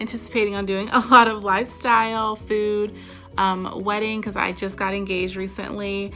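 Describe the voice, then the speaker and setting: A woman at a medium pitch and moderate pace, with monotone, flat intonation over music in the background. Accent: Southern US. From North Carolina, USA. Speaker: event and wedding planner, lifestyle vlogger. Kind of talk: casual talk to camera.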